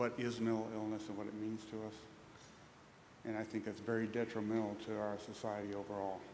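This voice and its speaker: A man speaks at a fairly quick pace with a fairly low pitch. The room has audible echo and noticeable background noise. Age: 60s. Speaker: audience member asking a question. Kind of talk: public Q&A remarks. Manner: halting.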